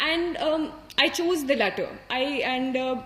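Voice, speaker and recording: A woman's high voice with an Indian accent and lively intonation, against noticeable background noise. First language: Hindi. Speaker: civil service exam topper. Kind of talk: motivational talk. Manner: halting.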